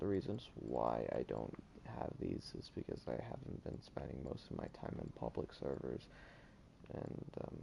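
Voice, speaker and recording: In a dark, mellow tone with vocal fry, a man speaks at a very deep, low pitch and a moderate pace, his intonation lively. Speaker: gaming streamer. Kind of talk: live gameplay commentary. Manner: halting, many fillers.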